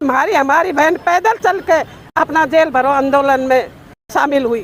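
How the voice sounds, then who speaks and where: The intonation is lively while the loudness stays very even throughout. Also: woman, high pitch for a woman. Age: 60s. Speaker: retired anganwadi worker. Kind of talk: interview at protest.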